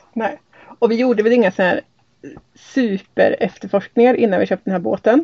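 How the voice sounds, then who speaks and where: With an unremarkable speaking voice, a woman talks at a fairly high pitch with ordinary pitch variation. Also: fairly quick pace. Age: 40s. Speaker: sailing podcast host, hydrogeologist. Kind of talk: casual chat. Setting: on board a sailboat.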